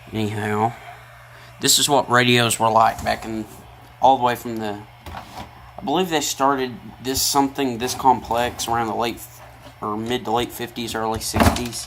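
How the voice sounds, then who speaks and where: Over noticeable background noise, a man with a Tennessee accent and a medium pitch speaks at a moderate pace with fairly even intonation and long, frequent pauses. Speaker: hobbyist video maker, radio tinkerer. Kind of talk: casual tutorial.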